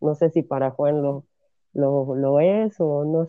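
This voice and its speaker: Fairly even intonation in a man's fairly high voice, delivered at a very slow pace. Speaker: podcast host. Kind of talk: casual interview.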